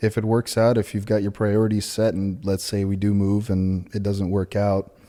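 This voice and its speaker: Speaking at a moderate pace, a man with a fairly low pitch keeps his intonation monotone and flat. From Ukraine, moved to California as a child. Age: 20s. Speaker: manufacturing professional. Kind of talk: interview conversation.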